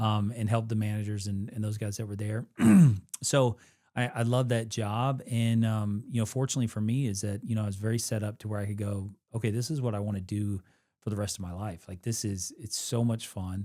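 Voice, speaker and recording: In a very clean recording with a silent background, a man talks at a fairly quick pace with a slight Kentucky accent. His fairly low voice has a dark, mellow tone and a flat, monotone delivery. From Western Kentucky, US. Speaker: military veteran, nonprofit camp director. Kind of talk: casual interview. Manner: halting, many fillers.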